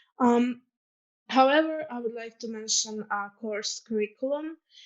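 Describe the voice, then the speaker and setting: Here a woman speaks with a Croatian accent. Her pace is moderate. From Croatia, Zagreb. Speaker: student ambassador. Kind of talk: presentation.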